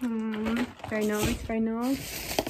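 Noticeable background noise runs through the clip. A woman is the speaker. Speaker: student vlogger. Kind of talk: casual vlog chat. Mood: playful, self-mocking. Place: home room. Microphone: phone near.

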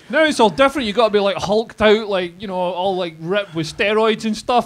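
A man's high voice in a Scottish accent. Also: ordinary pitch variation, fairly quick pace. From Scotland. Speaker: comedian. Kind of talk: live podcast interview. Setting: stage with audience. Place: bar.

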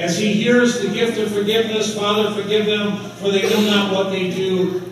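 A man talks at a high pitch. The recording has strong room echo and light background noise. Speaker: pastor. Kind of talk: sermon. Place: church.

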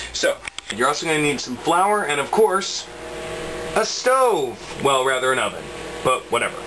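The speech moves at a moderate pace over noticeable background noise. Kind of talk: tutorial. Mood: playful, joking. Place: kitchen. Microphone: phone near.

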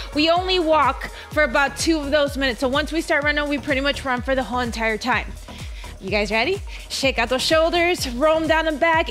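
A woman at a fairly quick pace, with ordinary pitch variation and faint music in the background. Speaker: running coach. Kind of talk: workout class instruction. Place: home room. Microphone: headset.

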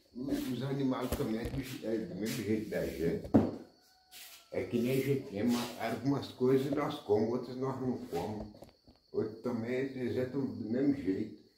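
At a moderate pace, a man speaks with audible room echo and noticeable background noise. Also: medium pitch for a man, ordinary pitch variation. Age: 70s. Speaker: farmer. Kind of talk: casual talk to camera. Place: kitchen. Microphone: phone near.

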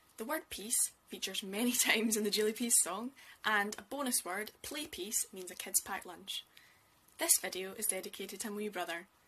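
A woman talks at a medium pitch in a fairly bright tone with a slightly husky edge and ordinary pitch variation. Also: moderate pace.

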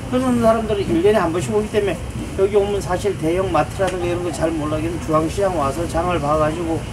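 Amid noticeable background noise, a man with a high pitch and ordinary pitch variation talks at a very fast pace. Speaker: market shopkeeper. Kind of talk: interview answer. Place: shop. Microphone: camera far.

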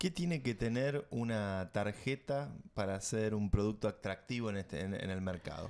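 Speaking at a moderate pace with hardly any pauses, a man uses a fairly low pitch and lively intonation. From Argentina. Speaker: tech podcast host. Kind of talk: casual chat. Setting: studio. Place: studio. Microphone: studio mic.

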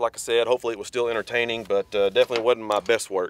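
In a dry sound with no echo, a man talks at a very fast pace with monotone, flat intonation. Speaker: hunter vlogger. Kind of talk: casual vlog chat. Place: open country.

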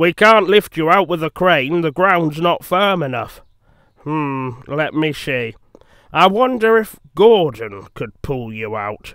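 A man puts on a character voice with fairly high pitch, a fairly bright and clear, smooth tone, lively intonation and a slow pace.

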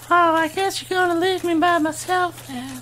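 A put-on character voice at an extremely high pitch and moderate pace, over clear background noise. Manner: sad, lonely.

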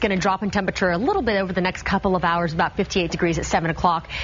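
Light background noise sits behind a woman speaking at a very fast pace. Her tone is upbeat. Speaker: TV weather forecaster. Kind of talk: live TV morning-news weather report, reading temperatures off on-screen maps. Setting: TV studio. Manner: brisk, upbeat broadcast delivery rattling off city-by-city numbers; friendly conversational asides to viewers, practical advice. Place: studio.

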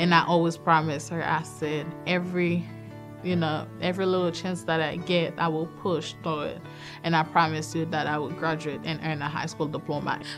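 Clear music plays behind a woman with a very deep, low pitch. She speaks at a moderate pace with fairly even intonation. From Haiti. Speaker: certified nurse aide. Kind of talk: interview answer. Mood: earnest, emotional, proud. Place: studio.

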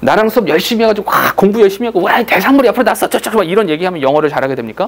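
In an animated tone, a man rushes along at a very fast pace. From South Korea. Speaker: English grammar teacher. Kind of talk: lecture. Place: classroom.

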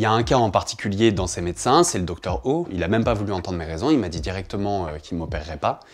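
A man with a fairly low pitch, very fast pace and lively intonation. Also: hardly any pauses. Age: 30s. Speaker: journalist. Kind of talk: testimony. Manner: hesitant with fillers. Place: studio.

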